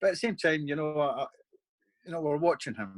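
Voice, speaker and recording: A fairly high-pitched man's voice in a Scottish accent. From Scotland. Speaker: bodyguard. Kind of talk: interview answer. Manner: casual, conversational.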